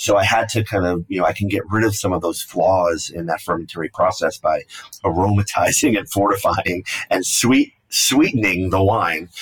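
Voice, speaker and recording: Noticeable background noise accompanies a man at a moderate pace. His fairly low pitch shows ordinary variation. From New York City, Brooklyn. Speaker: winemaker. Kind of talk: interview.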